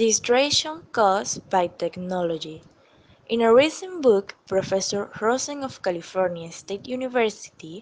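With lively intonation, a woman speaks at a fairly high pitch and a moderate pace. She has a non-native accent. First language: not English. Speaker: EFL student. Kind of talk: scripted class presentation reading.

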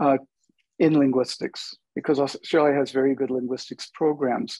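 In an unremarkable speaking voice, a man with an American accent talks at a moderate pace and medium pitch. His intonation stays fairly even against a quiet background. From United States. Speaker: linguist, adjunct professor; guest. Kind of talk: panel discussion. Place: home room. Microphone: earbuds.

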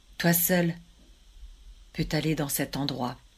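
A woman at a very slow pace with ordinary pitch variation, on a very clean recording with a silent background. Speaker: storyteller. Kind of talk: folk tale storytelling. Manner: measured, dramatic narration with suspenseful pauses; voices God and Satan in quoted dialogue.

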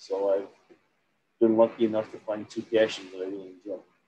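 Talking at a fairly quick pace, a man with an American accent has a dark, mellow tone over light background noise. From US Midwest. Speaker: novelist and accountant. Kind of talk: interview. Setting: video call. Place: home room. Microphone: webcam.

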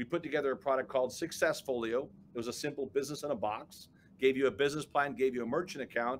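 A man with an American accent at a very fast pace, fairly even intonation, and light background noise. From Chicago, South Side; Chicago. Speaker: business coach and entrepreneur; interview guest. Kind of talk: interview. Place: office.

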